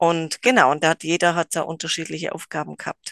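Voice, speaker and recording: Against a quiet background, a woman with a plain, everyday voice and fairly low pitch speaks at a moderate pace, the sound dry and close with no echo. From rural Germany. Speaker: psychomotor therapy trainer, gymnastics teacher. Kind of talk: casual interview.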